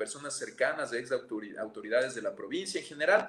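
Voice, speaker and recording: Noticeable background noise fills the recording. A man's voice comes through over it. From Ecuador, Amazon region (Pastaza). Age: 30s. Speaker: politician. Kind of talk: interview.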